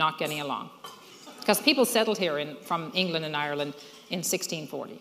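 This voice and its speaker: A woman with a Newfoundland accent, fairly low pitch and lively intonation, against noticeable background noise. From Newfoundland, Fogo Island. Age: 60s. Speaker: social entrepreneur. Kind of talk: speech to an audience.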